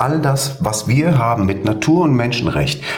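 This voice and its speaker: Audible room echo fills the recording. The delivery keeps a moderate pace. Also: man. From Hesse, Germany. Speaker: livestream participant. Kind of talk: casual chat.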